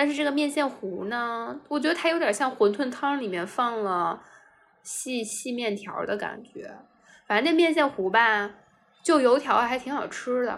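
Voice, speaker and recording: Her voice high in pitch, a woman speaks at a fairly slow pace with lively intonation. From China, Anhui. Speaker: office worker, travel guest. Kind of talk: casual chat. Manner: animated.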